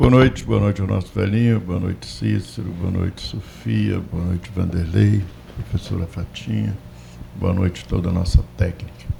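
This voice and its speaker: A man's very deep, low voice at a moderate pace, with very wide pitch swings and noticeable background noise. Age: 60s. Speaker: debate panelist. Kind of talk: panel debate commentary.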